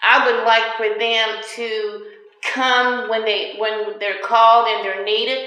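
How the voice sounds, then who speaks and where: Speaking at a very slow pace, a woman with a fairly high pitch keeps a monotone, flat intonation. Noticeable background noise and audible room echo fill the recording. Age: 60s. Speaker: tenant. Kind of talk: interview.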